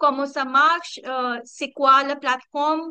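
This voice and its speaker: A woman speaks in a raised, projected voice with a high pitch and a bright, sharp tone. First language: not French (speaking French). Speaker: community coordinator. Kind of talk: online community meeting presentation. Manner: halting, many hesitations.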